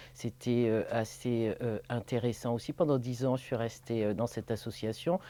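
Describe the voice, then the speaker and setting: A woman's very deep, low voice with a dark, mellow tone, at a fairly slow pace and with ordinary pitch variation. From Paris region, France (born in Martinique). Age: 60s. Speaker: social worker. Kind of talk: personal testimony interview. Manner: hesitant, many filler sounds.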